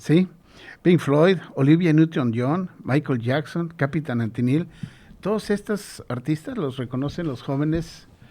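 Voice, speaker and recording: A man talks at a fairly slow pace with a fairly high pitch and ordinary pitch variation, an ordinary speaking voice. The recording is very clean, with a silent background. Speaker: radio show host. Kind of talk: radio talk show hosting.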